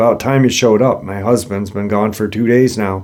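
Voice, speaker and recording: On a very clean recording with a silent background, a man does a raspy, put-on character voice at a fairly low pitch and a fairly quick pace, with fairly even intonation. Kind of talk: rude.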